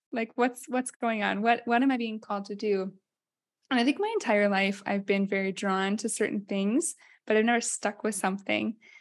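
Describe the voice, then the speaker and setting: Delivered at a moderate pace, an unremarkable speaking voice keeps a fairly even intonation. Nothing can be heard behind it. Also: woman, fairly high pitch for a woman. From Iowa. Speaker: podcast co-host. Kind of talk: casual chat. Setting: studio.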